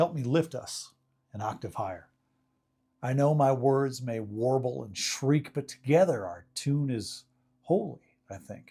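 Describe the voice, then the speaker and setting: A man speaks at a medium pitch and a fairly slow pace, his tone dark and mellow and somewhat breathy. His intonation is lively, and the recording is very clean with a silent background. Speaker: professional speaker, faith-community minister. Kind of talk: short sermon / reflective talk to camera. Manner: conversational, self-deprecating, reflective.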